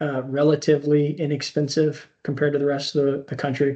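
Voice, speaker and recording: With an American accent, the speaker keeps to a moderate pace. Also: man. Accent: slight rural twang. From Indiana, US Midwest (Speedway). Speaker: army veteran. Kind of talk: interview.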